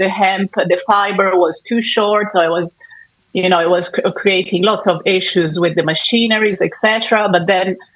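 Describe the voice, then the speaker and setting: This voice, in an Italian accent, moves at a moderate pace with fairly even intonation. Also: woman. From Italy. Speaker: fashion sustainability consultant. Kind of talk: panel discussion. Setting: conference stage with audience. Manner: halting.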